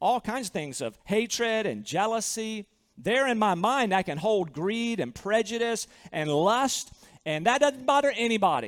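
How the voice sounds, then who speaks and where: A man with a high pitch speaks in a Southern US accent with lively intonation. The recording is very clean, with a silent background. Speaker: pastor. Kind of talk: sermon. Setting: church.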